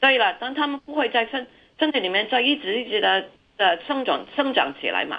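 Moderately paced speech from a woman, high-pitched, with ordinary pitch variation. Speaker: respiratory specialist doctor. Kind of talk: radio interview, medical explanation. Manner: halting, repeats words.

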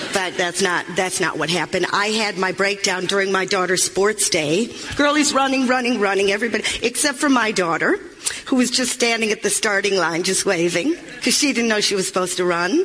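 Background noise is noticeable here. The talking goes at a fairly quick pace. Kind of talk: stand-up comedy, dry confessional storytelling about a breakdown, aimed at laughs.

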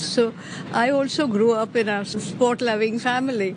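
A woman's voice with noticeable background noise. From Pakistan / India (Karachi, Bombay). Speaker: retired accountant, Parsi community member. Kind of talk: interview, personal recollection.

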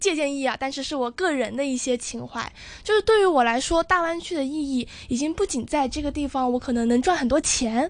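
With a high voice, a woman speaks at a fairly quick pace. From Zhuhai, Guangdong. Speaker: university student debater. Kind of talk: radio interview.

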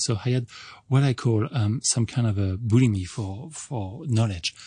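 Over a quiet background, a man with a French accent speaks in a somewhat breathy, dark, mellow tone with ordinary pitch variation. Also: dry, close sound with no echo. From France. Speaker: entomologist professor. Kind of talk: radio interview. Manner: halting.

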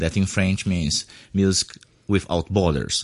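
Speaking at a moderate pace with a Portuguese accent, a man talks in a very deep, low voice. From Brazil. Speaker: musician and composer. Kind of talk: interview.

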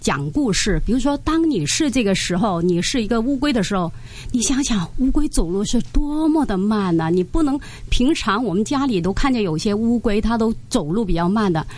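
A woman speaks at very even loudness with a fairly high pitch and very wide pitch swings, over noticeable background noise. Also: moderate pace. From Hong Kong. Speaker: Mandarin teacher, recitation coach. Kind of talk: radio interview.

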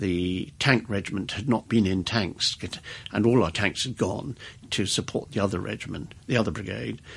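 A man with an RP accent speaks at a moderate pace in a fairly low pitch with vocal fry. The background is quiet. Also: ordinary pitch variation. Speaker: retired army officer. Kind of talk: interview. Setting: studio.

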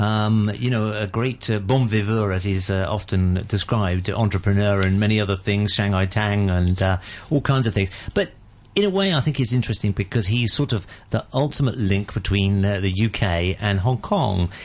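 A man with a British accent speaks at a fairly low pitch. His pace is moderate and his loudness very even. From Britain. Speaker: radio host. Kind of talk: radio current affairs discussion. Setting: radio studio.

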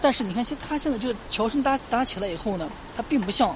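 A woman talking at a very fast pace amid noticeable background noise and audible room echo. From Lanzhou, northwest China. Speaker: local tour guide. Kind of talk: guided tour.

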